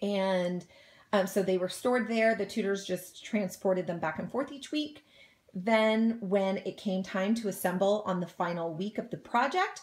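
The woman's pitch shifts in an ordinary way. She keeps to a moderate pace. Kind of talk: tutorial. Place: home room. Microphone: phone near.

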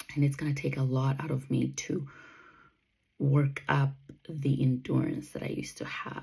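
Against a quiet background, a woman with a very deep, low pitch speaks fairly slowly in a dark, mellow, somewhat breathy tone with monotone, flat intonation. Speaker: runner vlogger. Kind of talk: casual vlog chat. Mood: reflective, candid. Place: home room. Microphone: phone near.

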